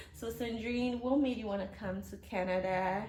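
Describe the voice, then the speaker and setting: Somewhat breathy and at a moderate pace, a woman speaks with ordinary pitch variation amid audible room echo. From Nigeria. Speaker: YouTuber. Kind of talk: casual interview.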